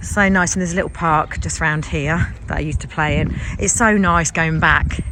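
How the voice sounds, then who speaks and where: A woman speaks over noticeable background noise. Room echo is audible. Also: moderate pace. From English Midlands, Leicestershire. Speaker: vlogger. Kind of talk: casual vlog narration. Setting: outdoors in a village and in a van.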